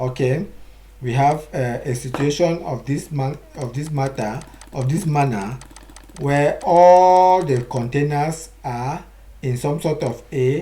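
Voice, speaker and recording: Noticeable background noise runs through the clip. The talking is very slow in pace. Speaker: IT instructor. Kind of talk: lecture.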